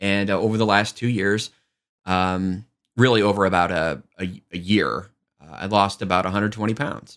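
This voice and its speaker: Here a man has an ordinary speaking voice, fairly low with ordinary pitch variation. He speaks at a fairly slow pace on a very clean recording with a silent background. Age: 40s. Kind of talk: live-streamed talk mixing teaching and chat.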